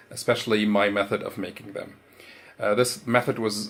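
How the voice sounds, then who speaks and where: A man with a non-native accent speaks fairly quickly in a fairly low voice. His intonation is flat and monotone. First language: not English. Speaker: 3D printing hobbyist. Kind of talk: tutorial. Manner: halting, with fillers.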